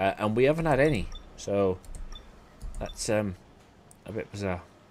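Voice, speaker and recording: This man speaks at a medium pitch with a Welsh accent, recorded very cleanly against a silent background. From South Wales. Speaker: gaming streamer. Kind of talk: gameplay commentary. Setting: live stream. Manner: casual, chatty.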